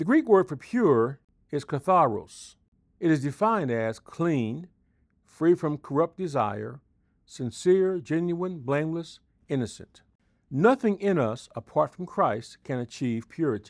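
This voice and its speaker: A man speaks in a plain, everyday voice at a fairly high pitch and a fairly slow pace, with lively intonation. The background is quiet, and the sound is dry and close with no echo. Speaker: devotional speaker, pastor. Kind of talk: scripted devotional. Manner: formal.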